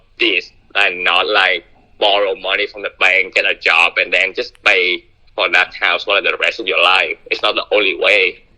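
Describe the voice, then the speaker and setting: This is a man with a Vietnamese accent. He talks at a moderate pace. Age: 20s. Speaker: caller. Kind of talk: phone conversation. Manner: halting.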